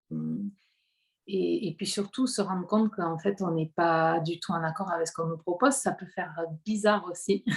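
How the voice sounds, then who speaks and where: A woman with a southern French accent speaks at a moderate pace in a fairly low, somewhat breathy voice with ordinary pitch variation. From southwestern France, Hautes-Pyrénées. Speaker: prenatal singing practitioner. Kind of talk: interview. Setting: home living room. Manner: hesitant, many fillers.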